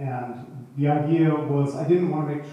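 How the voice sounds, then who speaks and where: With audible room echo and noticeable background noise, a man talks in a fairly high pitch with fairly even intonation. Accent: American. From USA. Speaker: author. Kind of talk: interview. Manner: halting.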